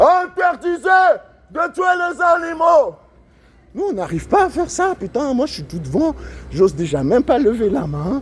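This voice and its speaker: A man speaks at a moderate pace with very wide pitch swings. Noticeable background noise runs underneath. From Switzerland, Lausanne. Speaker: animal rights activist. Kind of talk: street protest monologue. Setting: outdoors on street. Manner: loud, shouting slogans; casual slangy chatter.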